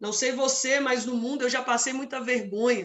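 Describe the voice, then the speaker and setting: A woman speaks in a fairly high pitch. Her pace is moderate. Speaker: preacher. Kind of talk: sermon.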